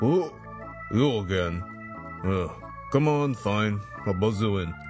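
Over clear background music, a man in a put-on character voice talks gruffly at a fairly slow pace with a fairly low pitch. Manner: annoyed, reluctant.

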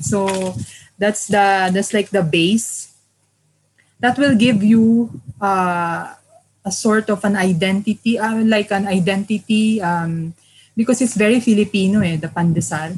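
Somewhat breathy, a woman at medium pitch talks at a fairly slow pace with ordinary pitch variation. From Philippines, Manila. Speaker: food writer and cookbook author. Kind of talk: interview.

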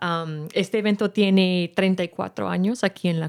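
A woman speaks with an English accent and ordinary pitch variation. The sound is dry and close with no echo, on a very clean recording with a silent background. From San Rafael, California (US). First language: English (speaking Spanish). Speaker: event organizer and music teacher. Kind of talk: radio interview.

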